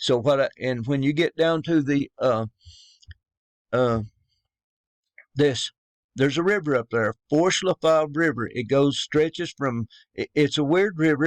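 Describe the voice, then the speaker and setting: A man with a Southern US accent talks at a fairly slow pace in a fairly high pitch, with ordinary pitch variation and a dry, close sound with no echo. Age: 50s. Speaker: religious YouTuber. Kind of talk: religious monologue. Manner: halting.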